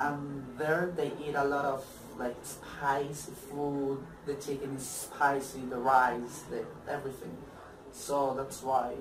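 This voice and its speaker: Over noticeable background noise, someone speaks with a Spanish accent at a fairly slow pace. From Colombia. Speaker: former exchange student. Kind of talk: interview. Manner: halting.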